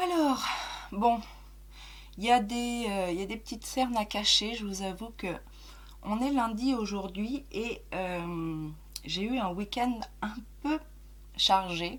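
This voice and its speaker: Speaking at a very slow pace with long, frequent pauses, a woman has a fairly high, somewhat breathy voice with ordinary pitch variation and audible room echo. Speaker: beauty youtuber. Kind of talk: casual chat. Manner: hesitant, many fillers.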